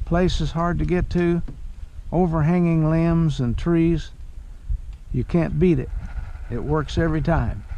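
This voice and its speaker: Fairly slow, high-pitched speech from a man, with fairly even intonation, long, frequent pauses and audible room echo. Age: 80s+. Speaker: fishing video creator. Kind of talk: outdoor vlog narration. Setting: outdoors in a kayak on a river.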